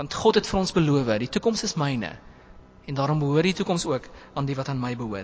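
A man's voice with very wide pitch swings. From southern Free State, South Africa. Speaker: preacher. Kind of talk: sermon.

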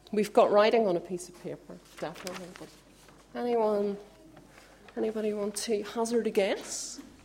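Long, frequent pauses from a woman at medium pitch, with fairly even intonation, big swings in loudness, a moderate pace and noticeable background noise. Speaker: youth worker making announcements. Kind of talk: church announcements.

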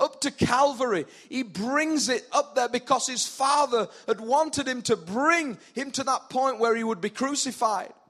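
Using ordinary pitch variation, a man with an extremely high pitch speaks at a fairly slow pace. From northern England, South Yorkshire. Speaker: pastor. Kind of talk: sermon. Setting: church with live congregation.

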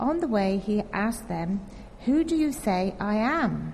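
A woman speaks at a fairly slow pace with medium pitch and lively intonation. It is a plain, everyday voice. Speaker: scripture reader. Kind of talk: reading aloud. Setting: church.

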